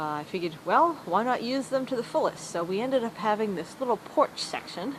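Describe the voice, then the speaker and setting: Noticeable background noise is present throughout. Over it, a woman talks. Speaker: amateur treehouse builder. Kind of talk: casual video walkthrough narration.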